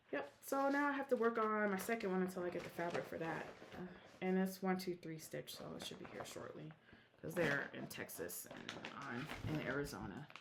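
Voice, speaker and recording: Very wide pitch swings and big swings in loudness at a fairly quick pace, over noticeable background noise. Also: woman, medium pitch for a woman. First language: Korean. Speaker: cross-stitch vlogger. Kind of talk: casual chat. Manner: casual, with many fillers.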